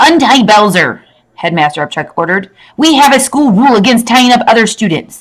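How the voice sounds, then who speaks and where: A man's put-on character voice, extremely high-pitched and growling, stern in tone, with lively intonation and a fairly quick pace. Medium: read story.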